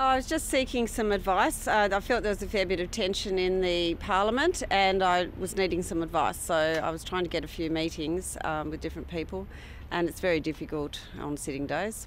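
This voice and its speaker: Speaking at a medium pitch with an Australian accent, a woman shows vocal fry and ordinary pitch variation. Her pace is fairly quick, with hardly any pauses. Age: 60s. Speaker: parliamentary speaker, politician. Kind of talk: media interview.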